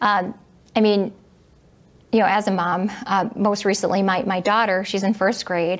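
In a Midwestern American accent, a woman talks at a moderate pace and medium pitch. Her intonation is flat and monotone, broken by long, frequent pauses. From Michigan (Southfield); Michigan. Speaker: political candidate, attorney; candidate. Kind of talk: candidate interview. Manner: hesitant, many fillers. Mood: earnest, calm. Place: studio.

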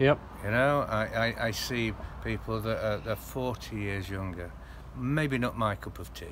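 A man speaks at a fairly slow pace. Background noise is noticeable. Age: 50s. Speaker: expat interviewee. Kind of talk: casual interview. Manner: halting, repetitive. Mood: reflective, mildly rueful. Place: garden. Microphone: phone near.

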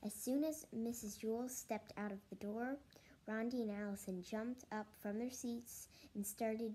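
It is delivered in a natural reading voice with fairly even intonation.

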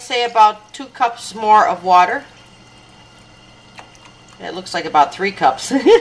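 A woman speaks with long, frequent pauses and big swings in loudness. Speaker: jazz singer. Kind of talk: cooking demonstration. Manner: casual, relaxed. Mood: relaxed, friendly. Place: kitchen.

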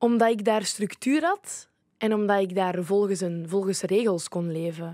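A woman's dark, mellow tone at a moderate pace, with ordinary pitch variation, a dry sound with no echo and a quiet background. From Flanders, Belgium (Leuven); Flanders, Belgium. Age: 20s. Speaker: youth ambassador; podcast guest. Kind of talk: casual chat; interview answer. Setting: studio. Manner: halting. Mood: reflective, personal, open. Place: studio. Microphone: studio mic.

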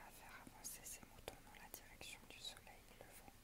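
Whispered words come at a fairly slow pace. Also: woman. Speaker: ASMR creator. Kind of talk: ASMR book reading. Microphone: earbuds.

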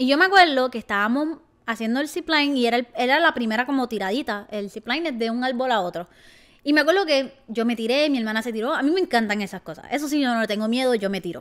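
Her speech comes at a very fast pace with lively intonation and an animated tone. The woman has a high pitch, and the background is quiet. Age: 20s. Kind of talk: casual vlog monologue. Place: home room. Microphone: handheld.

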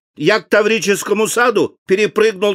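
The recording is dry and close, with no echo. A man with a high pitch speaks at a moderate pace. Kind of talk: reading aloud a children's poem. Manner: animated, sing-song, playful rhythm with rising and falling intonation.

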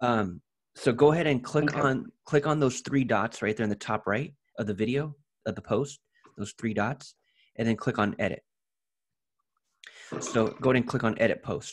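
A man talks at a moderate pace with ordinary pitch variation. He leaves long, frequent pauses against a quiet background. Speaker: ads coach guiding a client. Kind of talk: tutorial. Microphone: video call.

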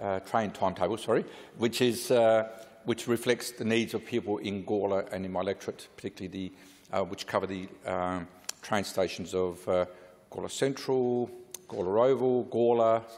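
This man has an unremarkable speaking voice with fairly low pitch. He talks at a moderate pace with fairly even intonation. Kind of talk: parliamentary speech. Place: hall. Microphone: podium.

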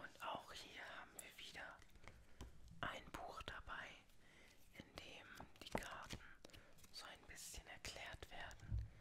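A woman whispers at a very slow pace. Her speech is broken by long, frequent pauses. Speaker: tarot reader (roleplay persona). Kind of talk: ASMR roleplay, tarot reading. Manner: whispered, soft-spoken. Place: home room. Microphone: studio mic.

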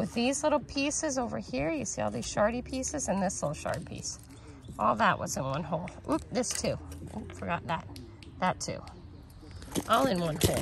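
A woman's speech with long, frequent pauses, a dry sound with no echo and noticeable background noise. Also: moderate pace. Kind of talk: casual vlog chat. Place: garden. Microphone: phone near.

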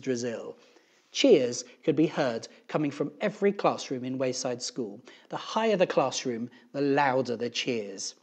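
Text is heard in plain reading aloud. Nothing more is added to it.

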